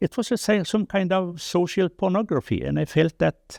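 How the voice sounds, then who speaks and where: A man with a Norwegian accent and a high pitch speaks at a moderate pace. The recording is very clean with a silent background, and the sound is dry and close, with no echo. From Norway. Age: 70s. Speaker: development charity chairman, former journalist. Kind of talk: interview testimony. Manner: halting.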